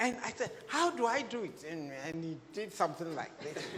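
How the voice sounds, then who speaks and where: There is audible room echo and noticeable background noise. A woman speaks with very wide pitch swings. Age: 80s+. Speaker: music teacher. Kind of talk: panel discussion. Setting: stage with audience. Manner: halting.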